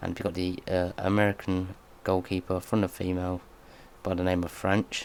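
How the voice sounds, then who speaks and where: A soft-spoken man talks at a moderate pace. His very deep, low voice has monotone, flat intonation. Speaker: gaming youtuber. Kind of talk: gameplay commentary.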